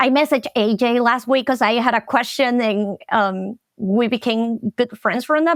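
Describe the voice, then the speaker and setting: A woman with a Latin American accent talks at a moderate pace, her fairly high pitch varying in an ordinary way. The sound is dry and close with no echo, and the recording is very clean over a silent background. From Venezuela. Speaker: marketing specialist. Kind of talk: podcast interview.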